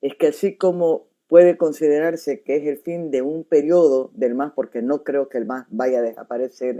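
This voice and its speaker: This woman's pitch is very deep and low, with a dark, mellow tone and ordinary variation. She keeps a moderate pace with hardly any pauses. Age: 60s. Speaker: journalist and show host. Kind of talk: interview.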